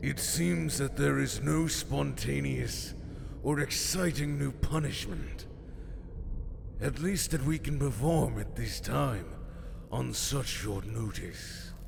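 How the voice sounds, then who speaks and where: A man puts on a character voice with a very deep, low pitch. He talks at a fairly slow pace over loud background noise. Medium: audio drama. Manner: formal, measured.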